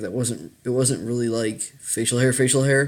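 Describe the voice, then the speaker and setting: Medium in pitch, this man's voice carries fairly even intonation. He is the only speaker described. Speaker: video blogger. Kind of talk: casual vlog talk. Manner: hesitant, many fillers.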